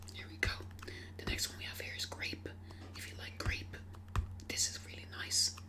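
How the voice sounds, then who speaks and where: At a moderate pace with long, frequent pauses, the speech comes through noticeable background noise. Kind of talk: ASMR shop role-play, customer service talk.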